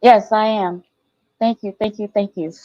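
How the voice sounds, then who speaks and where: A woman's dark, mellow tone comes through dry and close, without echo. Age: 60s. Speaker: caller asking for debt advice. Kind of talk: live audio room call-in.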